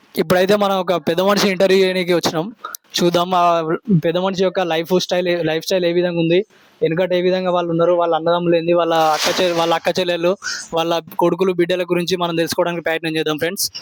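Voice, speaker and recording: The intonation is flat and monotone, and the loudness stays very even. Noticeable background noise runs underneath. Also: man, high pitch for a man. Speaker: village interviewer, vlogger. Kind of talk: casual interview questions.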